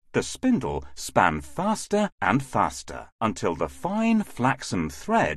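What we hear is a natural reading voice.

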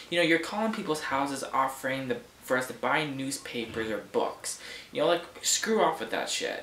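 Light background noise and audible room echo around a man talking at a moderate pace. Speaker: vlogger. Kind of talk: casual vlog rant. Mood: annoyed, ranting. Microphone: webcam.

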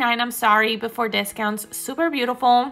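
A woman with a high-pitched voice is heard over faint music in the background. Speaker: shopping vlogger. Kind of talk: casual shop-with-me commentary. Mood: enthusiastic, admiring. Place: shop. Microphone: phone near.

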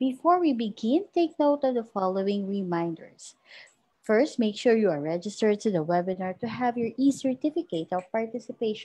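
Fairly high, somewhat breathy voice from a woman with a Filipino accent, fairly quick in pace, with very wide pitch swings. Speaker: webinar host. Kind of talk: formal introduction.

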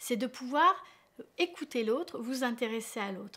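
At a moderate pace, a woman talks in a high pitch. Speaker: relationship coach. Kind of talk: advice talk to camera. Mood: warm, encouraging. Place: home room.

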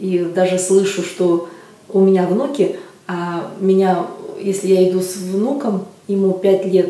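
Audible room echo surrounds the voice. The speaker is a woman. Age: 50s. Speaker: customer giving a testimonial. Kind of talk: customer testimonial. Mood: calm, pleased. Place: office.

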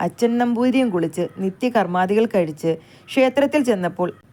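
A woman speaks in a dark, mellow tone. Her intonation is lively. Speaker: storyteller. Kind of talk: reading aloud.

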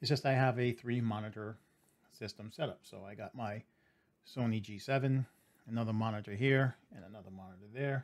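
The delivery keeps a moderate pace. Its pitch moves in an ordinary way. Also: man. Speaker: streamer reviewing gear. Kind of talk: casual vlog chat. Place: home room. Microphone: studio mic.

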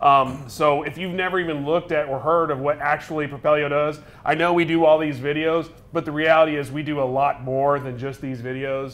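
A man with a plain, everyday voice talks at a fairly quick pace and a fairly high pitch, keeping his intonation fairly even. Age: 30s. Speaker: show co-host. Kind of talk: sales pitch; casual chat. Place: studio. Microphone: lapel.

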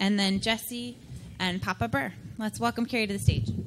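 A woman's voice over light background noise. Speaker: event host. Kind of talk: host announcements. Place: hall. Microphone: handheld.

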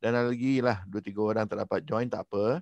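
A man with a plain, everyday voice, fairly even intonation and a moderate pace, in a dry sound with no echo over a quiet background. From Malaysia. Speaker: coach and host. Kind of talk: online briefing presentation. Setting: video call. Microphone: headset.

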